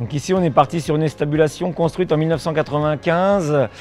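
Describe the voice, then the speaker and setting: A man's fairly high voice with fairly even intonation, music in the background. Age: 50s. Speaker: farmer. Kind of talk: farm presentation. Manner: hesitant, many fillers.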